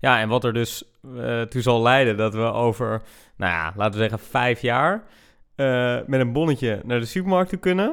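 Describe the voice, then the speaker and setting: A man talks at a moderate pace with lively intonation. The recording is very clean, the background silent. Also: medium pitch for a man. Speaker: podcast co-host, recent graduate. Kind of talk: casual podcast chat. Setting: indoors at a table.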